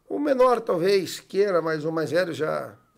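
A man talks in a normal speaking voice. His intonation is lively. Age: 40s. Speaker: TV network executive and sport fisherman. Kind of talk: casual chat.

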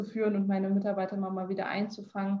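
The woman's voice is medium in pitch and somewhat breathy. Her intonation stays monotone and flat. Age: 20s. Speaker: health management entrepreneur. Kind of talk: interview.

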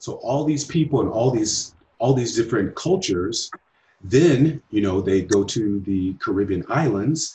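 The speaker sounds somewhat breathy, talking at a moderate pace with lively intonation. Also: man. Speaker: podcast host. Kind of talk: scripted intro then casual interview.

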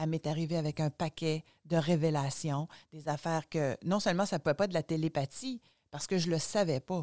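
A woman with a very deep, low pitch and ordinary pitch variation speaks at a fairly quick pace in a very clean, dry, close recording with a silent background and no echo. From Quebec, Gaspésie. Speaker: author and speaker, former journalist. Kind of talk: casual interview.

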